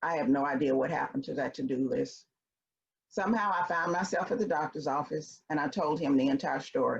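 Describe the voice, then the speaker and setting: A woman with a Memphis accent, a very deep, low pitch, lively intonation and a fairly quick pace. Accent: Southern US (Memphis). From US South, Memphis, Tennessee. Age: 60s. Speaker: consultant and speaker. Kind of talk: personal storytelling. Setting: virtual event.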